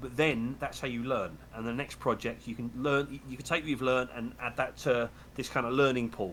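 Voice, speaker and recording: A man with vocal fry, a fairly quick pace and fairly even intonation. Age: 40s. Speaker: hardware maker and designer. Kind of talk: casual chat. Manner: repetitive stammering starts.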